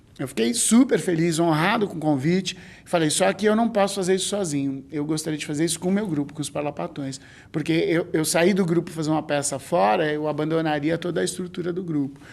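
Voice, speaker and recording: Fairly quick delivery from a man, pitched fairly high, with ordinary pitch variation. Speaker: clown and stage actor. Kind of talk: documentary interview. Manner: halting, with many fillers.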